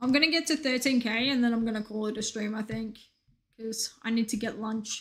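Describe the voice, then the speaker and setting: Speaking at a fairly quick pace, a woman uses a fairly high pitch. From Australia. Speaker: video game streamer. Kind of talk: casual chat. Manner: animated.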